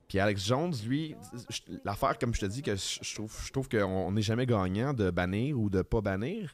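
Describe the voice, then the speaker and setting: A man at a moderate pace, fairly low in pitch. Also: ordinary pitch variation. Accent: Quebec. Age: 30s. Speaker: podcast co-host. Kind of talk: casual chat.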